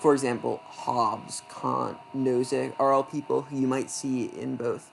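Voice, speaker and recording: There is noticeable background noise behind a man speaking in an American accent. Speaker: debate coach. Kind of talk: lecture. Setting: screen-recorded presentation. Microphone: not very great laptop.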